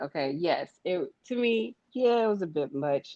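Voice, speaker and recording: A woman's lively intonation in a dry, close sound with no echo. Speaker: podcast co-host. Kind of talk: casual chat. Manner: loud.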